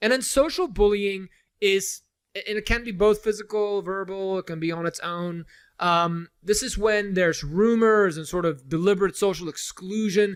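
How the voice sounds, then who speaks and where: A man talks at a high pitch with ordinary pitch variation. The recording is very clean, with a silent background. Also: moderate pace. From South Africa, moved to US as a child. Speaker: college lecturer. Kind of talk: lecture. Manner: casual, conversational.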